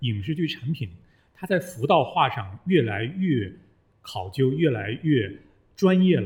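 The voice is somewhat breathy, moving at a moderate pace with very wide pitch swings. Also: man. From Northeast China. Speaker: former journalist, voice worker. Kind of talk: casual chat. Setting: studio.

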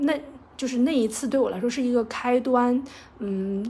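A woman speaks at a fairly quick pace in a dark, mellow, somewhat breathy tone. Her pitch varies in an ordinary way. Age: 30s. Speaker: podcast host. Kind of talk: personal storytelling monologue. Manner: hesitant, many filler sounds.

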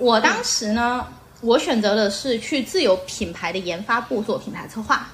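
An unremarkable speaking voice from a woman, fairly high in pitch, at a moderate pace with ordinary pitch variation and big swings in loudness. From Xiamen, southern Fujian (Minnan). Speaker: former adult products industry worker. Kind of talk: casual chat.

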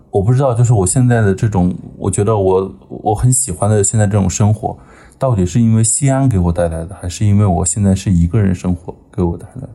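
A man's somewhat breathy, dark, mellow voice at a fairly quick pace. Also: fairly low pitch for a man, ordinary pitch variation. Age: 20s. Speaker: podcast guest. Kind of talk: casual chat.

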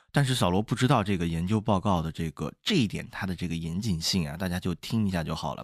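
A man speaks with a very deep, low pitch and ordinary pitch variation. The background is quiet. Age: young. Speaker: podcast co-host. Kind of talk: casual chat.

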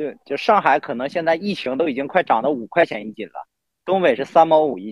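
A man in a northeastern Chinese accent, fairly high-pitched with vocal fry, very wide pitch swings, big swings in loudness, a fairly quick pace and a dry, close sound with no echo. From Northeast China. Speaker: podcast guest. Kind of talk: casual chat.

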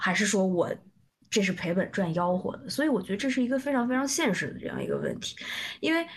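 A woman talks at a very fast pace with vocal fry. Her medium-pitched voice makes very wide pitch swings. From southern China. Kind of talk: casual chat. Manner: halting.

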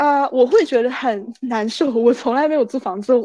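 Moderately paced, high-pitched speech from a woman, with ordinary pitch variation. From China, Anhui. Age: 20s. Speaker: student abroad. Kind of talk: casual interview. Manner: halting, many fillers.

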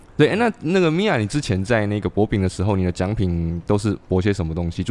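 With hardly any pauses, a man with a fairly low pitch talks at a very fast pace in a dry, close sound with no echo. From Xiamen, southern Fujian. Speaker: podcast host. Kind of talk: casual chat. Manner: animated.

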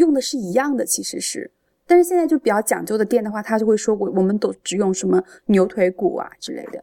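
A woman speaks at a fairly high pitch in a dark, mellow tone with vocal fry, her pitch swinging very widely and her loudness swinging a lot, all in a dry, close sound with no echo. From Changde, Hunan, China. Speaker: food enthusiast. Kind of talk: casual chat.

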